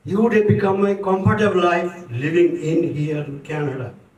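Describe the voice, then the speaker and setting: Audible room echo surrounds speech that keeps a moderate pace. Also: man. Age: 70s. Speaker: community speaker. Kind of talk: tribute speech. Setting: book launch event with audience.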